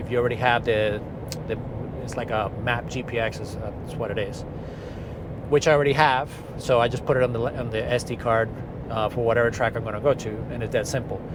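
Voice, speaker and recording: A man at medium pitch talking at a very fast pace, with audible room echo and noticeable background noise. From outside the US (immigrant). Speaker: car enthusiast vlogger. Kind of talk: casual vlog monologue. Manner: monotone; hesitant, many fillers and repeats.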